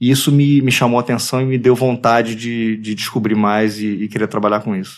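With a Rio de Janeiro accent, a man talks at a fairly quick pace in a monotone, flat intonation, with hardly any pauses. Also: medium pitch for a man. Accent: Carioca Brazilian Portuguese. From Brazil, Rio de Janeiro (Tijuca). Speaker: advertising creative director. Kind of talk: casual interview. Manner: halting, many repetitions.

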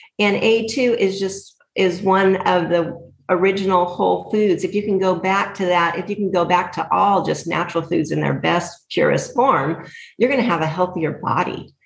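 With vocal fry and an American accent, a woman at medium pitch speaks at a moderate pace with fairly even intonation. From US West Coast. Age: 50s. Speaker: dairy farmer. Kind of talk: casual interview.

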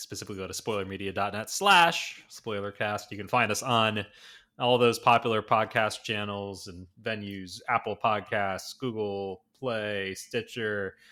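On a very clean recording with a silent background, a man with a fairly low pitch and a bright, sharp tone speaks at a fairly slow pace with an American accent, fairly even intonation and big swings in loudness. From Rhode Island, US. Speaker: podcast host. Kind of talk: casual chat.

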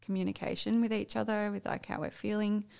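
A woman with an Australian accent. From Australia, Sydney area. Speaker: swinger couple guest. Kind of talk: casual chat.

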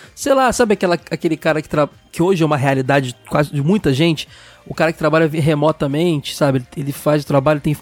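Over music in the background, a man talks very fast at a fairly high pitch, in a dry, close sound with no echo. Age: 30s. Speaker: podcast host. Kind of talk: casual chat.

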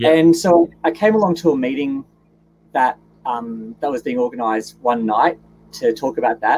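A man's fairly high voice in a Queensland accent, with lively intonation at a moderate pace. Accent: Australian, Queensland. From Gold Coast, Queensland. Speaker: guest, business owner. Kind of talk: casual interview. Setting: video call, travelling in Mount Isa.

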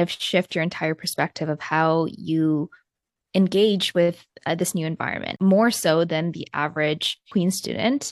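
An ordinary speaking voice from a woman, fairly low in pitch and fairly slow, dry and close with no echo against a quiet background. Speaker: podcast host. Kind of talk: scripted intro and interview.

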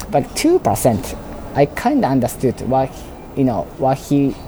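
Against noticeable background noise, a man with a Japanese accent talks at a fairly slow pace with medium pitch and ordinary pitch variation. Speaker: robotics startup founder. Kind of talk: interview. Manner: halting, many fillers.

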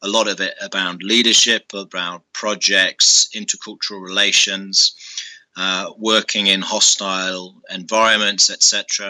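The intonation is monotone and flat, in a British accent. The pace is fairly slow. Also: man, fairly low pitch for a man. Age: 30s. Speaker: former army officer and business school director. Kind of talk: interview.

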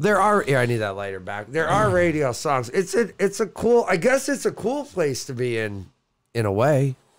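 A man with an American accent speaks at a fairly high pitch. His voice moves through very wide pitch swings. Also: moderate pace. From US South. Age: 40s. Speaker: podcast co-host. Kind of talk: casual chat. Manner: animated.

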